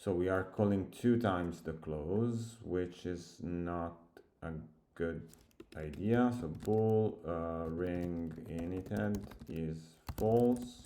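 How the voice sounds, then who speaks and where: With audible room echo, a man speaks very slowly in a very deep, low voice with a dark, mellow tone. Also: ordinary pitch variation. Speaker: software developer. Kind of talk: coding tutorial. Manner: halting, thinking aloud.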